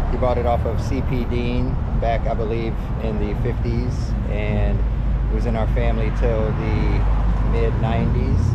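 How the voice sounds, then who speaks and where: A man speaks at a moderate pace. Loud background noise fills the recording. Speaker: travel vlogger. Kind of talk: casual vlog chat. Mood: wistful, reflective. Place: street. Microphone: phone near.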